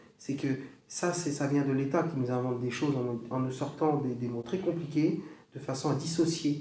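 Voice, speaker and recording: A man's moderately paced speech comes through noticeable background noise and audible echo from the room. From Brittany, northern Finistère. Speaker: music teacher and bombarde player. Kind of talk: casual chat.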